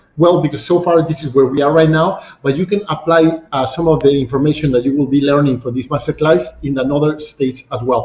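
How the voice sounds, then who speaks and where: Speaking with a Mexican accent, a man with a fairly high pitch and a somewhat breathy voice goes at a very fast pace with ordinary pitch variation. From Mexico City. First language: Spanish. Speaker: real estate agent. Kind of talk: online masterclass presentation. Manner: halting, many fillers.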